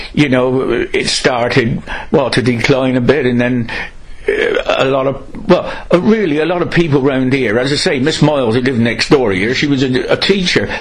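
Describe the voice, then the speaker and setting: Amid noticeable background noise and audible room echo, a man with a West Country accent speaks at a fairly high pitch with ordinary variation. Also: moderate pace. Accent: Gloucestershire West Country English. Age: 70s. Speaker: local resident interviewee. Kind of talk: oral history interview.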